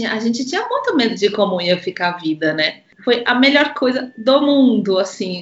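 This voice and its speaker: Here a woman speaks. Her pitch swings very widely. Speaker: violinist and mother. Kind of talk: casual chat.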